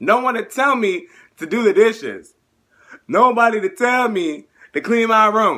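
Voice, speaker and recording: A man with an extremely high pitch, a bright, sharp tone and lively intonation, his voice raised and projected, at a fairly slow pace with long, frequent pauses against a quiet background. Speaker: YouTuber / vlogger; YouTuber, vlogger. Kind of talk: casual vlog. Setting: in his bedroom at parents' house. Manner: animated. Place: home room. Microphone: phone near.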